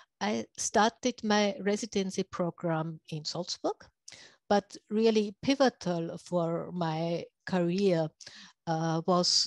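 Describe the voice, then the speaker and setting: Speaking very slowly with a German accent, a woman holds a medium pitch with ordinary pitch variation. The sound is dry and close, with no echo. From Austria. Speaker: radiology professor. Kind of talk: lecture. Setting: video call. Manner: halting.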